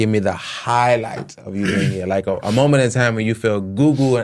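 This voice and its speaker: An unremarkable speaking voice moves at a fairly quick pace. Its pitch varies in an ordinary way. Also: man. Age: 30s. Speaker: podcast host. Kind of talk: casual interview chat.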